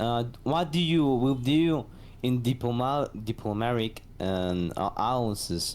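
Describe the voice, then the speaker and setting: The man's pitch sits in the medium range with ordinary variation. His pace is fairly slow. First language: Spanish. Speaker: community member asking questions. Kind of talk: Q&A in voice chat. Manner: halting, hesitant.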